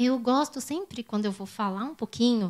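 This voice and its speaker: A woman at a fairly quick pace, in a very clean recording with a silent background. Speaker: professor. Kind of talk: lecture. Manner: halting.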